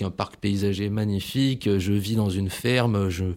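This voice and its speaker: A very clean recording with a silent background captures a man whose pitch is fairly low. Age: 30s. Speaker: ecologist. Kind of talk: interview testimony. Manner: halting, many repetitions.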